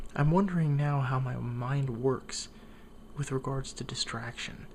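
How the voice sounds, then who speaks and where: This man talks at a fairly slow pace, his voice somewhat breathy and his intonation fairly even. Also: medium pitch for a man. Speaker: vlogger. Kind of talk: casual talk to camera.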